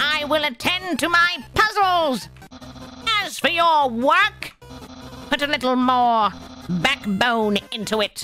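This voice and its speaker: Clear music plays in the background. A woman speaks at a fairly slow pace in a put-on character voice. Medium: role play. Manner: loud, exasperated.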